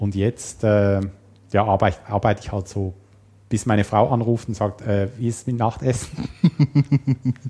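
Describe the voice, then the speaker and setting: A somewhat breathy man's voice with ordinary pitch variation and a dry, close sound with no echo. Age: 40s. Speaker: programmer and system administrator. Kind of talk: casual interview.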